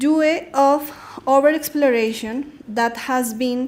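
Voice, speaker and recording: Someone with a Spanish accent speaks at a very slow pace amid audible room echo. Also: woman. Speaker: researcher. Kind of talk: conference presentation. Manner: halting.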